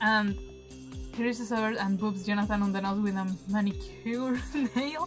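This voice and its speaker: Faint music sits in the background while a woman speaks at a fairly slow pace. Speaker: game streamer. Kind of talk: let's play commentary and reading game text aloud. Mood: playful, animated. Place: home room.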